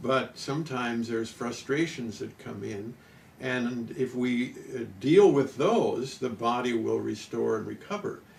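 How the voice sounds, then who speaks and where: Fairly slow speech from a man, with noticeable background noise and audible room echo. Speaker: nutrition and wellness pioneer. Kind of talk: interview. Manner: halting, many uh fillers.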